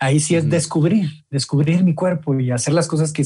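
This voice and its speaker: A man's dark, mellow tone sits at a fairly high pitch, with fairly even intonation at a moderate pace. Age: 20s. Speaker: men's group leader. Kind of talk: interview.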